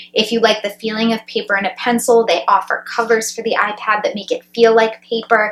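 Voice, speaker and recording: Speaking with hardly any pauses, a woman holds a fairly high pitch in monotone, flat intonation. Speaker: nursing school graduate giving advice. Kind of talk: advice vlog. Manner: fast; casual.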